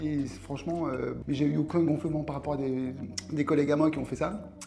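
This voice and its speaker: A man with a fairly high pitch talks at a fairly quick pace with fairly even intonation, and audible room echo surrounds his voice. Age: 60s. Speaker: patient giving testimonial. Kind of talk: testimony. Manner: halting, many hesitations.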